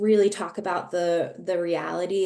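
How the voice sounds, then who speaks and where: In a normal speaking voice, a woman talks at a moderate pace with a fairly low pitch. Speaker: policy researcher presenting survey results. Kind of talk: webinar presentation.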